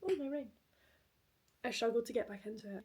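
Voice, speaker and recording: This woman speaks with a Scottish accent. Her pitch is high, with ordinary pitch variation. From Scotland. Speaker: post-graduate student. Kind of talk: casual talk to camera, reading vlog.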